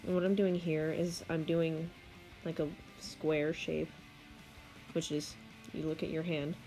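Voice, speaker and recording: Over music in the background, a woman speaks in a fairly low, flat monotone at a fairly slow pace, with long, frequent pauses. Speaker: digital artist. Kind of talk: casual art tutorial narration. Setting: home recording, poor audio quality. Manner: hesitant, casual.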